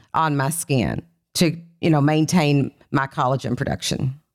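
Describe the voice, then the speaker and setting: In an Appalachian accent, a woman speaks at a moderate pace with a very deep, low pitch on a very clean recording with a silent background. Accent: Kentucky Appalachian, noticeable. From Kentucky. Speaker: skincare company founder and CEO. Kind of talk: casual interview chat.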